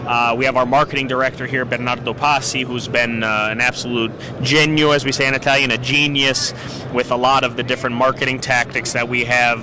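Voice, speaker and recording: With an American accent, a man speaks at a medium pitch and a fairly quick pace. His intonation is monotone and flat, and there is noticeable background noise. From northeastern Pennsylvania. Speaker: cigar company representative. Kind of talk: trade show interview. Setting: trade show floor.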